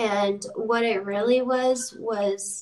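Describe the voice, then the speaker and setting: Her American accent clear, a woman speaks at medium pitch with fairly even intonation. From Idaho and Sacramento, California. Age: 30s. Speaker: budtender and cannabis activist. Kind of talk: casual chat.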